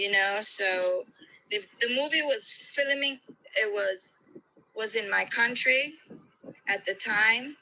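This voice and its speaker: A woman with a Belizean accent speaks at a very slow pace, leaving long, frequent pauses. Her fairly high voice carries lively intonation. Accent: Belizean Caribbean. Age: middle-aged. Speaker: caller. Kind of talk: casual chat.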